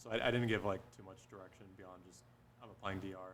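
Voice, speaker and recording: Very fast speech with vocal fry, lively intonation and audible room echo. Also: man. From Upstate New York. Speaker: medical student matched into radiology. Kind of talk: panel discussion.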